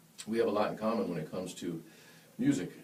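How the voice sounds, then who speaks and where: Talking at a very fast pace, a man is heard with audible room echo. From western New York (Buffalo), born in Yonkers. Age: 40s. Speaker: jazz trumpet player. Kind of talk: casual interview chat. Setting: studio, live-streamed. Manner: animated storytelling.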